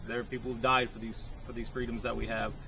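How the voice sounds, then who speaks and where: Audible room echo around a man's American-accented voice. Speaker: gun channel video blogger. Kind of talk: casual video log monologue. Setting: outdoors, sitting on a vehicle. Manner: halting, stuttering.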